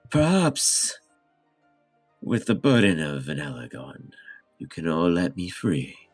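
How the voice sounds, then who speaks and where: A man's put-on character voice, very deep and low, broken by long, frequent pauses, with faint music in the background. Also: fairly slow pace. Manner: ominous.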